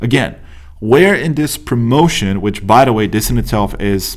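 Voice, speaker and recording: A man with a Romanian accent speaks at medium pitch and a moderate pace, with ordinary pitch variation. Audible room echo surrounds his voice. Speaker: business coach. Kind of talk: tutorial. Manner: casual, many fillers.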